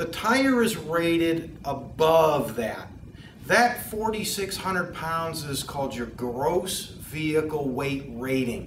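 There is light background noise and audible room echo. A man speaks at a very slow pace. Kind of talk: tutorial. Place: shop. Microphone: lapel.

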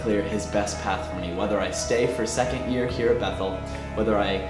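A man talks at a fairly quick pace with ordinary pitch variation. Clear music plays in the background. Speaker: student vlogger. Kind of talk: casual vlog update. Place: studio.

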